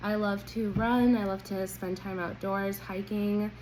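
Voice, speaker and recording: Audible room echo surrounds this woman's voice. She speaks at a medium pitch and a fairly slow pace. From Colombia, then California from age ten. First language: Spanish. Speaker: job interview candidate, accountant. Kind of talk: mock job interview answer.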